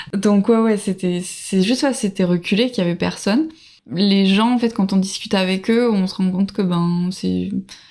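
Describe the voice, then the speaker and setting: At a moderate pace, the speaker uses a dark, mellow tone with ordinary pitch variation. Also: woman, medium pitch for a woman. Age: 30s. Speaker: traveler. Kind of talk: casual chat. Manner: halting.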